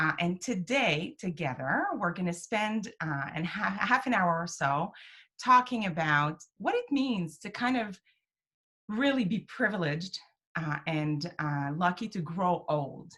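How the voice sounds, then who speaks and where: A woman speaks at a fairly slow pace with a strong French Canadian accent, her fairly low pitch making very wide swings. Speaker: program director, web series host. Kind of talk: casual interview chat. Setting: home office, video call.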